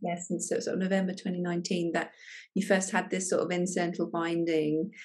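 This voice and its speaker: Against a quiet background, a woman speaks at a medium pitch. Her delivery is somewhat breathy and monotone, with flat intonation. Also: fairly quick pace. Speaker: functional medicine doctor. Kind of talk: interview questions.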